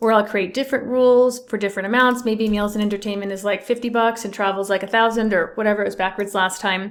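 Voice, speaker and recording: A woman speaks with a plain, everyday voice at a fairly high pitch and fairly even intonation. The recording is very clean, with a silent background. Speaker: accountant. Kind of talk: tutorial.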